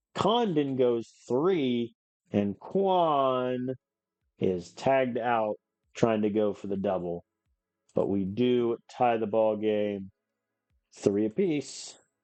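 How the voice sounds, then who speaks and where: A very slow man with lively intonation and long, frequent pauses over music in the background. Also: medium pitch for a man. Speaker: video game streamer. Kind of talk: live gameplay commentary. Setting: live stream. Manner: animated.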